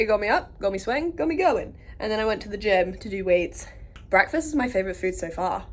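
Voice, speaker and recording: Talking very fast with an English accent, a woman at medium pitch makes very wide pitch swings and big swings in loudness. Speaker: comedian and vlogger. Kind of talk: casual vlog. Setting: cruise ship. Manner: animated.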